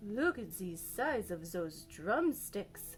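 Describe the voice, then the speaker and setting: A woman's put-on character voice at a medium pitch, very slow, with clear music in the background. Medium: read story.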